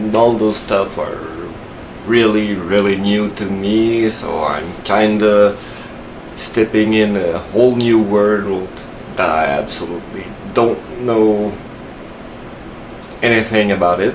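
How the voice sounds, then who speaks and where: A man with a Quebec accent speaks at a very slow pace, leaving long, frequent pauses, his intonation fairly even. Audible room echo and noticeable background noise fill the recording. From Quebec, Canada. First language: French. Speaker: tech tutorial youtuber. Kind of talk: tutorial. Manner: hesitant, many fillers.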